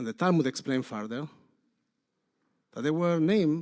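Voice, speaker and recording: This man has a non-native accent. His intonation is lively. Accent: noticeable foreign. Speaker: rabbi. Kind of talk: sermon.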